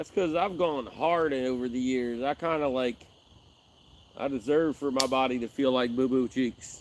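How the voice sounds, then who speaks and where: An ordinary speaking voice from a man, medium in pitch and moderate in pace, the intonation fairly even. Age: 40s. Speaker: fishing livestreamer. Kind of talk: casual live stream chat. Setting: outdoors by a river.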